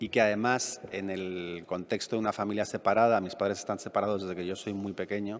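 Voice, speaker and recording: A fairly low male voice with monotone, flat intonation. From Madrid, Spain. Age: 50s. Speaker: novelist. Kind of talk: public talk Q&A. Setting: library event with audience.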